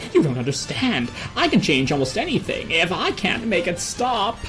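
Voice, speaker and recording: Loud music plays behind a put-on character voice. The pitch sits in the middle range, and the pace is moderate. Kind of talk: dramatic comic reading.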